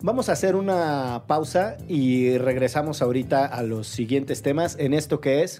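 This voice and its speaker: This man's fairly high voice has a dark, mellow tone and normal pitch movement. He talks at a moderate pace with hardly any pauses. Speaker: podcast co-host. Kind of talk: casual chat. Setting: studio. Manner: animated, wordy.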